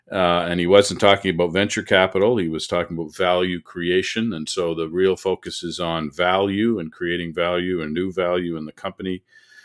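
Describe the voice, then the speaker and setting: Speaking at a fairly quick pace with hardly any pauses, the man's very deep, low voice stays monotone and flat. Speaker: podcast host. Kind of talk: casual interview chat.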